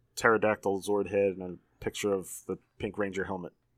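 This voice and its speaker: On a very clean recording with a silent background, a man with a plain, everyday voice and fairly low pitch speaks at a moderate pace, the sound dry and close with no echo. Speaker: podcast host. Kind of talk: casual chat.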